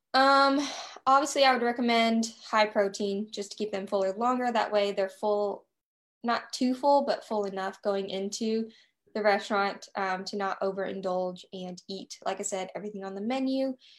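A woman speaks with a plain, everyday voice, fairly high in pitch and at a moderate pace. Her pitch varies in an ordinary way, and the recording is very clean, with a silent background. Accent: American. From US South. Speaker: nutrition coach. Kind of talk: casual chat.

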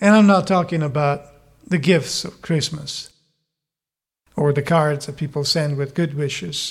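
With an Italian accent, a man speaks at a fairly slow pace in a fairly high, somewhat breathy voice with ordinary pitch variation and long, frequent pauses, on a very clean recording with a silent background. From Italy. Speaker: pastor. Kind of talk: sermon. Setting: church.

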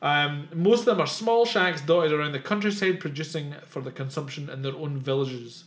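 A man with a Scottish accent talks at a fairly high pitch with lively intonation and hardly any pauses. His voice is somewhat breathy, and his loudness swings widely. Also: fairly quick pace. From southwest Scotland. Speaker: podcast host. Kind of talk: casual chat.

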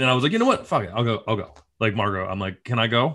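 Bright, sharp male voice at medium pitch with an American accent and a very fast pace. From upstate New York. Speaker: TV writer-producer and comedian. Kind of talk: casual chat. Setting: video call.

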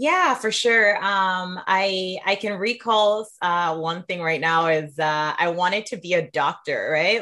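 With a warm tone that is also bright and sharp, a woman speaks at a fairly slow pace at medium pitch with ordinary pitch variation. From Sierra Leone. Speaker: leadership coach and author. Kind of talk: interview conversation. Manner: warm, laughs often.

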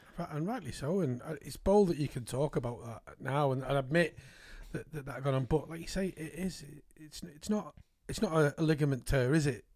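A man talks at a fairly quick pace with a fairly high pitch. His voice is somewhat breathy, and his loudness swings widely. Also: ordinary pitch variation. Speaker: podcast host. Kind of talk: casual interview chat. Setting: studio.

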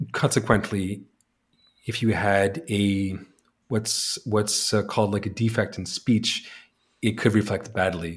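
Somewhat breathy and fairly low, a man's voice moves with fairly even intonation and long, frequent pauses in a very clean recording with a silent background. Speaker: author and ex-Jehovah's Witness. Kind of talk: interview. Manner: halting, with frequent restarts.

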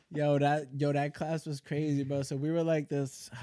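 A man with a New York accent speaks at a fairly quick pace in a dark, mellow tone, the sound dry and close with no echo. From New York (Yonkers). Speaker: triathlete and Navy veteran. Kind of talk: casual chat.

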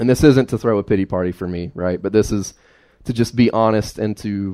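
A man's fairly low voice with an Appalachian accent, dark and mellow in tone, at a moderate pace with fairly even intonation, on a very clean recording with a silent background. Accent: Appalachian Southern US. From US South, southwestern Virginia (Carroll County). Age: 20s. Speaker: lay preacher. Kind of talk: sermon. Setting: church.

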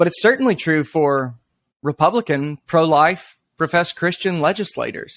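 Heard in a dry, close sound with no echo, a man with an unremarkable speaking voice talks at a moderate pace with a fairly high pitch and lively intonation. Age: 30s. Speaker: pastor and anti-abortion activist. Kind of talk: interview conversation.

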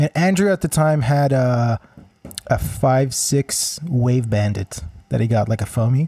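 Somewhat breathy man with a dark, mellow tone, medium pitch, ordinary pitch variation, very even loudness and a fairly slow pace. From Israel. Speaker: musician. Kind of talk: casual chat. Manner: halting.

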